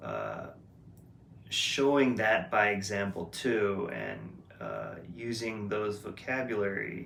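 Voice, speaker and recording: With noticeable background noise and audible room echo, a man talks at a very slow pace. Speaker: vlogger. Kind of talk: casual monologue vlog. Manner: loud; hesitant, many fillers.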